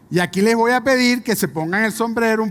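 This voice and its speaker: On a very clean recording with a silent background, a man with a Venezuelan accent speaks with lively intonation. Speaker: business executive. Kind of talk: conference talk.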